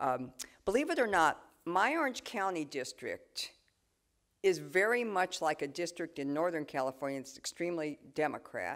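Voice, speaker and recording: A woman with an ordinary speaking voice talks at a fairly low pitch and moderate pace, with lively intonation. The recording is very clean, with a silent background. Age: 60s. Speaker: politician. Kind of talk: talk with audience Q&A.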